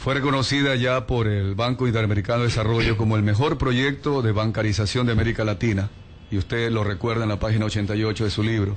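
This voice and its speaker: Over noticeable background noise, a man of medium pitch talks very fast with very even loudness and fairly even intonation. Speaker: radio interviewer. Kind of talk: radio interview. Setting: radio studio.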